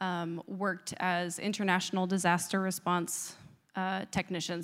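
A woman with an American accent speaks at a fairly slow pace in a medium pitch, a plain, everyday voice. The recording is very clean, with a silent background. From US Northeast. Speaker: disaster response worker. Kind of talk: testimony. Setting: church.

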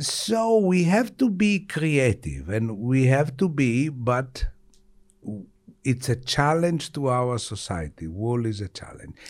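A man's medium-pitched voice in an Italian accent, very slow, with very wide pitch swings. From Italy. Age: 60s. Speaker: retired surgeon. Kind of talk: interview.

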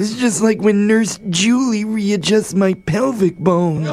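A put-on character voice, pitched fairly high, delivers the lines at a fairly slow pace.

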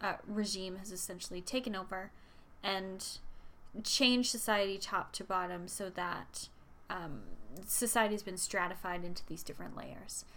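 A woman with an Albertan accent, a bright, sharp tone, medium pitch, moderate pace and fairly even intonation. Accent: Canadian (Alberta). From central Alberta, Canada. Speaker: podcast co-host, substitute teacher. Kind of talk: casual chat.

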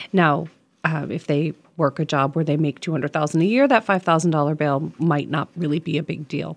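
Her pace runs fairly quick. The woman has an American accent. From western Massachusetts. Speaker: state legislator. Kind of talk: radio interview. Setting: studio. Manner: passionate.

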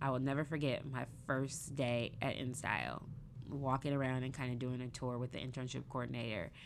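With an American accent, this woman talks in a very deep, low voice with vocal fry and fairly even intonation. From US Pacific Northwest (Seattle). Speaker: fashion and beauty magazine editor. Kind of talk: interview conversation.

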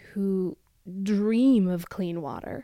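A woman with a dark, mellow tone speaks at a medium pitch in a West Coast US accent. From US Pacific Northwest. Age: 20s. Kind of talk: first-person audio testimony.

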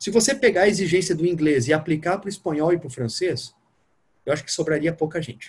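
At a very fast pace, a man talks in a high pitch with lively intonation. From Curitiba, southern Brazil. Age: 30s. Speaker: newly passed diplomat, former sports journalist. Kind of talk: interview. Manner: casual.

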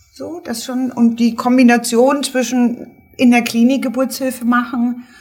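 Over music in the background, a woman speaks in a high pitch. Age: 50s. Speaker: midwife. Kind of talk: casual chat.

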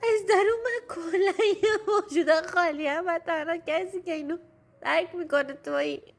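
A woman speaks at an extremely high pitch and a moderate pace. Her pitch variation is ordinary. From Iran. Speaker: listener sending a voice message. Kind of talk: recorded voice message, personal testimony.

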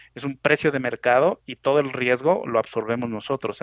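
Against a quiet background, a man with an ordinary speaking voice talks at a moderate pace with ordinary pitch variation, in a dry, close sound with no echo. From Mexico City. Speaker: truck company executive. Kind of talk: interview. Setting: phone call.

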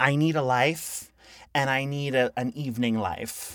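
A woman speaks at a very slow pace in a very deep, low pitch. The recording is very clean, with a silent background. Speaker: comedian podcast host. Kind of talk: casual chat.

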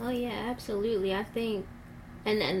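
In an American accent, a woman speaks with fairly even intonation and audible room echo. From West Baltimore, Maryland. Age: 20s. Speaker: hospital scheduling coordinator. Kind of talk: interview testimony. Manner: hesitant, many filler ums.

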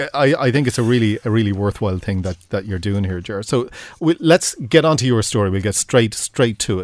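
A man's medium-pitched, a normal speaking voice, fairly quick in pace with lively intonation. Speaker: executive producer and old friend. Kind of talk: casual interview.

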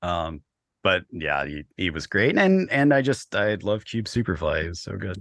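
Lively in intonation, a man talks at a moderate pace with a fairly low pitch. The sound is dry and close with no echo, over a quiet background. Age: 30s. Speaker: film production coordinator. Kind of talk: interview. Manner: halting.

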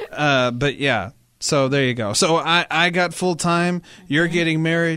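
Using a plain, everyday voice, a man with a fairly high pitch speaks at a fairly slow pace, with ordinary pitch variation and very even loudness. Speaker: comedy podcast host. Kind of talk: casual chat.

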